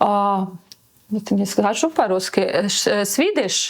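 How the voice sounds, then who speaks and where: A woman talks with a non-native accent. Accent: pleasant foreign accent in Russian. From Latvia, near Riga. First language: Latvian (speaking Russian). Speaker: model and businesswoman. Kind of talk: interview. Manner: halting, many fillers.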